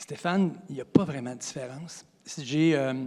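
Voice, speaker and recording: A man speaks in a normal speaking voice, fairly high in pitch with ordinary pitch variation. The recording is very clean, with a silent background. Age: 60s. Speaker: college physical education teacher. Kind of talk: interview.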